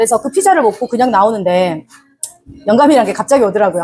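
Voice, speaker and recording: Her fairly high voice swings very widely in pitch as this woman speaks. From Jeolla, South Korea. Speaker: small business owner. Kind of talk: interview.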